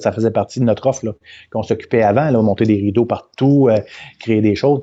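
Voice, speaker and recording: Over a quiet background, a man with a dark, mellow tone speaks at medium pitch and a fairly quick pace with fairly even intonation. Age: 50s. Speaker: events company president. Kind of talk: interview. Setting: live video stream. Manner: halting, many repetitions.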